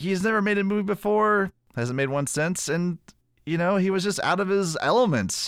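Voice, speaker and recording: A man with a high pitch talks at a moderate pace in an animated tone, with ordinary pitch variation and very even loudness. The recording is very clean, with a silent background. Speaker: podcast co-host. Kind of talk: casual movie review podcast chat. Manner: animated, joking.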